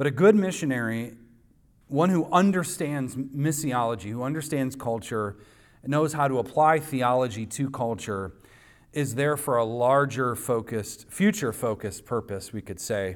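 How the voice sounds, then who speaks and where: At a moderate pace, a man speaks in a plain, everyday voice on a very clean recording with a silent background. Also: medium pitch for a man. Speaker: pastor. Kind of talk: sermon. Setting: church.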